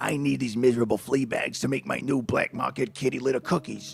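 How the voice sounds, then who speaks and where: Over clear music in the background, a man puts on a growling character voice at a medium pitch and a fairly quick pace. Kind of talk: menacing.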